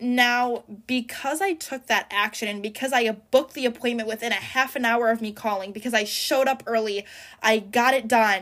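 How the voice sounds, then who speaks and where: A woman with a normal speaking voice talks at a moderate pace and a fairly high pitch. Her intonation is fairly even, and the recording is very clean with a silent background. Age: 20s. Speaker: podcast host, college student. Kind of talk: casual monologue.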